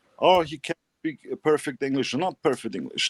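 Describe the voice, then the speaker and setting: The sound is dry and close, with no echo. A man with a fairly high voice speaks with lively intonation. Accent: non-native. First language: German. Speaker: podcast co-host. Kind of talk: casual chat. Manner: halting.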